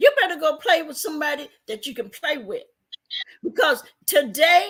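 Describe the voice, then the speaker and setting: A woman with a high pitch speaks at a moderate pace with big swings in loudness. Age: 60s. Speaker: live streamer. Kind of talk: heated rant. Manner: animated.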